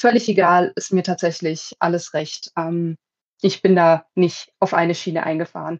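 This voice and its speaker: A woman with an unremarkable speaking voice talks at a moderate pace, her pitch fairly low. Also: fairly even intonation. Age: 20s. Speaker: podcast host. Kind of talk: casual chat. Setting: video call.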